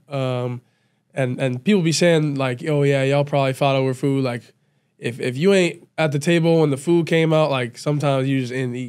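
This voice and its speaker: Against a quiet background, a man talks at a fairly high pitch with fairly even intonation. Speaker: college football player; podcast guest. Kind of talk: casual chat. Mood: calm, reflective. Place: studio. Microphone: studio mic.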